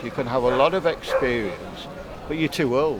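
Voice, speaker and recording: A man's fairly high-pitched voice with lively intonation over noticeable background noise. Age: 70s. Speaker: local voter. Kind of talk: casual chat. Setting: outdoor market. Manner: halting.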